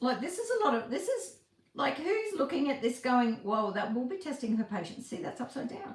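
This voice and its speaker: Talking at a fairly quick pace, a woman uses an animated tone with a high pitch and very wide pitch swings. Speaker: craft tutorial livestreamer. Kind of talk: live-stream craft tutorial. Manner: fast; chatty, animated.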